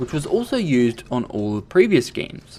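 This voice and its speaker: The man's voice sits at a medium pitch. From Australia. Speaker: video game reviewer. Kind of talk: game review.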